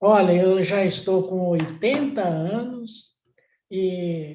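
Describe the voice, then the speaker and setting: A high-pitched male voice at a very slow pace with ordinary pitch variation. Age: 80s+. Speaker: customer giving testimony. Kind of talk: testimony.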